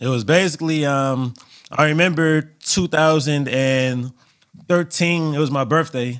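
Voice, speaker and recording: With an American accent, a man talks fairly slowly in an unremarkable speaking voice, his fairly high pitch held to fairly even intonation. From Los Angeles, California. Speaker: DJ. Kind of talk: casual interview chat.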